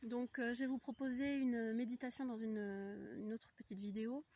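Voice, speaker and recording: Recorded dry and close with no echo, a woman speaks fairly slowly in a fairly high, somewhat breathy voice with a dark, mellow tone and fairly even intonation. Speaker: spiritual coach and voice practitioner. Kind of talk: casual spiritual vlog talk. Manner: hesitant, many fillers.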